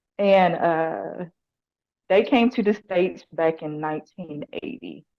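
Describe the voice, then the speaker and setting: The speech comes in a strong Southern US accent at a very slow pace. Loudness swings widely, and the intonation is lively. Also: woman, fairly low pitch for a woman. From US South, Nashville Tennessee. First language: Lao. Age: 40s. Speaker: probation officer and motorcycle racer. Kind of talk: interview.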